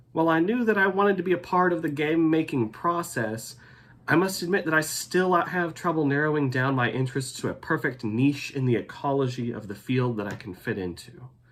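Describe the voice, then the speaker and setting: Fairly high-pitched, a man with a Texan accent speaks at a fairly quick pace with lively intonation. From Texas, Denton. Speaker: graduate student. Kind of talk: scripted narration.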